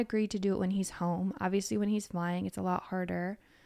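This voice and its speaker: A woman with an ordinary speaking voice and medium pitch is heard in a very clean recording with a silent background. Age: 30s. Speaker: podcast host. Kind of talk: casual chat.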